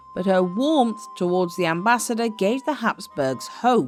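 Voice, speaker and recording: A woman's medium-pitched voice at a fairly slow pace, with very wide pitch swings and music in the background. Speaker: history narrator. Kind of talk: documentary history narration.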